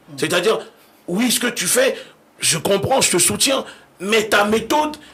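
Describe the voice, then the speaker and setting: With noticeable background noise behind him, a man speaks in an animated tone at a moderate pace with lively intonation. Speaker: activist leader. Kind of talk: radio interview.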